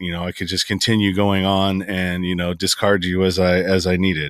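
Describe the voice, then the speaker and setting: A moderate pace in a Californian accent, on a very clean recording with a silent background. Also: man. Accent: Californian American English. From Northern California (San Francisco Bay Area). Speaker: podcaster. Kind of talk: interview, life story testimony. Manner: halting, repeats words.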